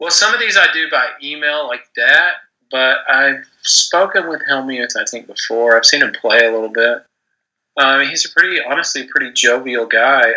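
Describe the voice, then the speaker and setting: A man speaks with a Texas accent. His pace is moderate. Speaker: gambling writer and podcast host. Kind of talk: interview. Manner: not very animated.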